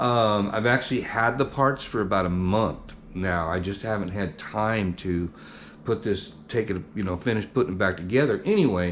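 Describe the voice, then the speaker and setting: Speaking at a moderate pace, a man uses a fairly low voice with ordinary pitch variation. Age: 60s. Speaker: barbecue channel host. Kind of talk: casual vlog talk. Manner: casual, hesitant with fillers.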